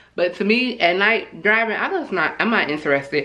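Audible room echo surrounds a woman whose tone is bright and sharp and whose intonation is lively.

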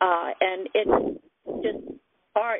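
A woman with fairly even intonation, in dry sound with no echo. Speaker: caller sharing illness story. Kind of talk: personal testimony. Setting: phone conference call. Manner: halting, hesitant. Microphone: phone line.

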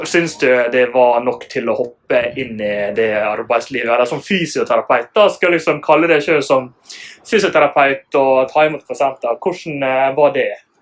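In an ordinary speaking voice, a man with a fairly high pitch talks at a moderate pace with ordinary pitch variation and hardly any pauses. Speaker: physiotherapist. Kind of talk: interview.

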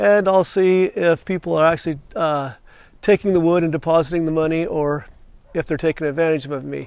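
Fairly quick speech with ordinary pitch variation, a dry sound with no echo, and a quiet background. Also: man. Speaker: channel host. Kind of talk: casual vlog chat. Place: garden.

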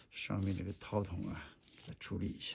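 Soft-spoken and at a moderate pace, a man talks at a fairly low pitch in a monotone, flat intonation. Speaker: gun hobbyist vlogger. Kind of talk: tutorial.

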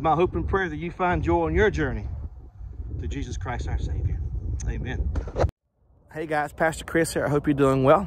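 The speech is broken by long, frequent pauses. Noticeable background noise sits behind it. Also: man, moderate pace, dry sound with no echo. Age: 40s. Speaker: pastor. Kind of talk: devotional vlog; church announcement. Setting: outdoors. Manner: casual, conversational. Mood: warm, friendly. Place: open country. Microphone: phone near.

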